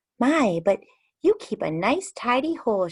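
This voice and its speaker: In a squeaky, put-on character voice, a female-sounding speaker talks at a moderate pace, high in pitch for a woman, with very wide pitch swings. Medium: read story. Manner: polite, gracious.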